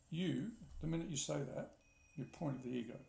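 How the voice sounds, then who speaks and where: A man talks with a somewhat breathy voice and ordinary pitch variation, and the room echo is audible. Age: 60s. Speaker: spiritual teacher. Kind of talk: spiritual talk. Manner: repetitive, reflective.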